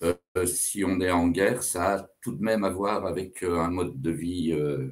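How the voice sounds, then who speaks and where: A man speaks with a very deep, low voice. His pitch varies in an ordinary way. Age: 60s. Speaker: teacher and political candidate. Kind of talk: interview. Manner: hesitant, many filler sounds.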